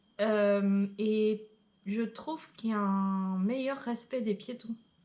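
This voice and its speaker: This woman has a medium pitch. Her pitch varies in an ordinary way. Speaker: travel vlogger. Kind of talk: casual chat.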